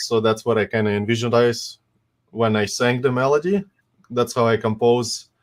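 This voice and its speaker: A man with a Russian accent, medium pitch, fairly even intonation and a moderate pace. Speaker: composer, community member. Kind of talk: casual chat presenting own music. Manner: hesitant, many fillers.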